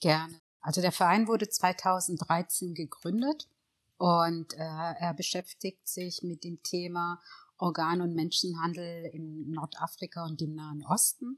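On a very clean recording with a silent background, a woman speaks at a fairly low pitch and a very slow pace. Her intonation is fairly even, her loudness swings widely, and the sound is dry and close with no echo. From Eritrea, raised in Reutlingen (Swabia), Germany. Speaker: lawyer and charity founder. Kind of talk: interview conversation.

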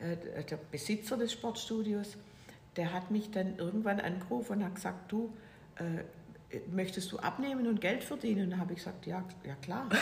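Amid noticeable background noise and audible room echo, a woman with a medium-pitched voice speaks at a moderate pace with ordinary pitch variation. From Swabia, Germany (near Stuttgart). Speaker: author and entrepreneur. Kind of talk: casual interview. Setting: at her home.

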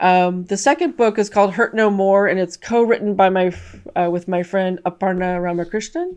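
A woman with a West Coast US accent at a medium pitch, moderate pace and fairly even intonation, against a quiet background. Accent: General American (West Coast). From California. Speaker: author and trauma survivor. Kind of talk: interview testimony.

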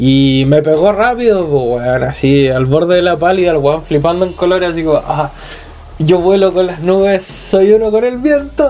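A man with a Chilean accent speaks at a moderate pace in a high voice, his intonation lively, with noticeable background noise. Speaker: podcast co-host. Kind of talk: casual chat.

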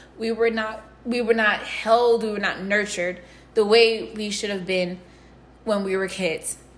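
A woman's fairly high, monotone voice with flat intonation at a fairly slow pace, plus audible room echo and noticeable background noise. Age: 20s. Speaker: podcast host. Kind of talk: personal confessional monologue. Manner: soft, hushed. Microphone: echo and noise, no proper equipment.

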